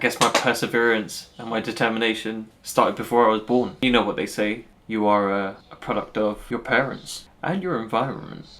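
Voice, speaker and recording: A man's bright, sharp tone with fairly even intonation and a London accent. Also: medium pitch for a man. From London, Northwest London. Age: 30s. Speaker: vlogger and commercial lawyer. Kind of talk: personal vlog monologue.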